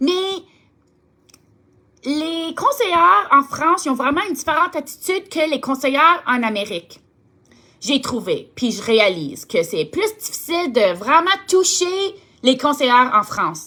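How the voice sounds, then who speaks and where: A raised, projected voice with a bright, sharp tone moves at a fairly slow pace through very wide pitch swings and long, frequent pauses. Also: woman, high pitch for a woman. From Ontario, Canada (Franco-Ontarian). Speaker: direct sales team leader. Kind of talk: motivational talk to sales team. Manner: halting, searches for words; warm, enthusiastic.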